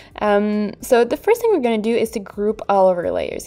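A woman with a strong French accent speaks at a fairly quick pace. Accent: French accent, strong today. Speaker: digital art tutorial creator. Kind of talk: tutorial voiceover. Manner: casual, with fillers and laughs.

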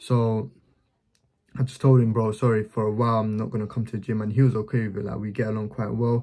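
A man's dark, mellow tone in flat, monotone intonation, with a quiet background. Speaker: business vlogger. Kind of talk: casual explanatory vlog chat.

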